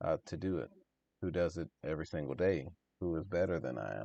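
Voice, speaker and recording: At a moderate pace, a man talks with a very deep, low pitch, a dark, mellow tone and vocal fry. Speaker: DTF printing business owner and YouTuber. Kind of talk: casual tutorial talk to camera. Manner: monotone.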